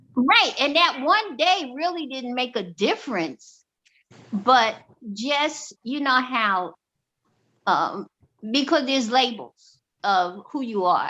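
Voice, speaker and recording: A woman projects a bright, sharp, high voice with very wide pitch swings. She goes at a very slow pace with long, frequent pauses. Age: 60s. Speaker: discussion group member. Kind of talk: casual discussion.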